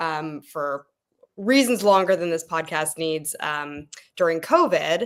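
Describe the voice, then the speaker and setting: A woman with an American accent speaks at a very slow pace with lively intonation. The recording is very clean, with a silent background. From United States. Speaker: political volunteer. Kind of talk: podcast interview.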